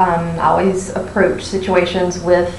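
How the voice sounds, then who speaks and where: A woman with an American accent and a medium pitch speaks at a moderate pace amid audible room echo and noticeable background noise. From Pennsylvania. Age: 30s. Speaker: university staff member, amateur paranormal investigator. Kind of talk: casual group audition interview. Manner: hesitant, many fillers.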